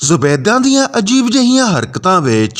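Reading done in an unforced voice.

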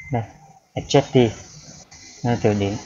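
Medium-pitched male voice against noticeable background noise. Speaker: IELTS vocabulary tutor on video channel. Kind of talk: tutorial. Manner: halting, many fillers.

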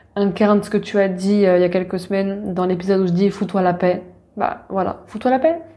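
Dark, mellow tone at a fairly quick pace, with fairly even intonation and hardly any pauses. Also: woman, medium pitch for a woman. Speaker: podcast host, spiritual wellness coach. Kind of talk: casual personal monologue. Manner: hesitant, many fillers.

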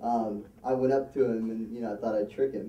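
Talking at a fairly quick pace, a man is heard with audible room echo. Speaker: amateur comedian at an open mic. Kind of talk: stand-up comedy, a long shaggy-dog joke about a debate told to a live conference crowd. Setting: stage with a live audience. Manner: loose, rambling storyteller, padding lines with um, uh and you know; plays to the crowd, pausing for laughs and throwing in asides. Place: hall.

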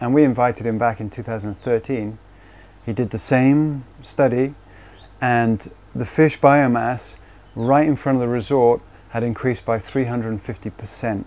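The speaker moves at a very slow pace with fairly even intonation. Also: man. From Cornwall, England. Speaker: dive resort founder. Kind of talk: interview. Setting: office. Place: office. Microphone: lapel.

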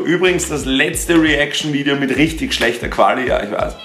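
Light background noise and audible room echo accompany a man's moderate pace of speech. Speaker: youtuber. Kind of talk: casual vlog chat. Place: home room.

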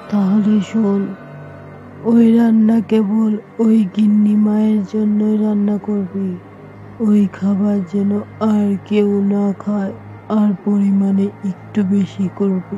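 A cartoonish character voice, female-sounding and medium in pitch, at a very slow pace amid clear background noise. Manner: commanding, menacing.

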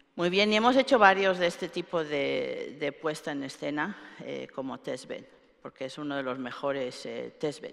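A woman at a moderate pace with big swings in loudness, over a quiet background. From Spain, Alicante; Spain. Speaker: computer scientist; keynote speaker. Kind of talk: keynote lecture. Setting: stage with audience. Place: hall.

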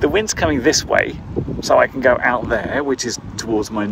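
Noticeable background noise sits under a man's speech. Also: dry sound with no echo. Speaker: drone hobbyist reviewer. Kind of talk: casual vlog chat. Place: open country. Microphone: phone near.

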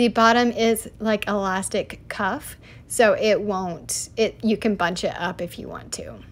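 Speaking at a fairly slow pace with an American accent, this voice carries vocal fry and big swings in loudness. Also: woman. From US South, Tennessee (Chattanooga area); Tennessee. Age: 30s. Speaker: lifestyle vlogger; fashion vlogger. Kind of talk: casual vlog talk to camera. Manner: chatty, animated. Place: shop. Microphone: phone near.

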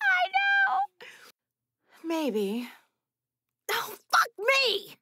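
A woman's put-on character voice, extremely high in pitch, with lively intonation. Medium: audio drama. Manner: profane. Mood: exasperated.

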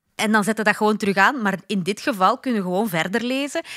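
A woman's bright, sharp tone in a Flemish accent, at a fairly quick pace with ordinary pitch variation, over a quiet background. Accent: Flemish Dutch. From Flanders, Belgium. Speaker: podcast co-host. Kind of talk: casual chat.

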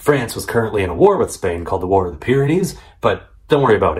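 A man talks at a fairly quick pace against a quiet background. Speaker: history video host. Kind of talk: commentary. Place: home room.

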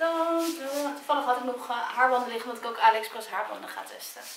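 In a raised, projected voice, a woman talks at a fairly quick pace with lively intonation. Audible room echo and light background noise surround her. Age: 20s. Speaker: YouTuber. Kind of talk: casual vlog. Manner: animated. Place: home room. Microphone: camera far.

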